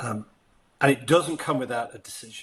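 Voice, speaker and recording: Speaking at an even, moderate speed, this man has a British accent. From Britain. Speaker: leadership and sales coach. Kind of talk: interview conversation. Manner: animated.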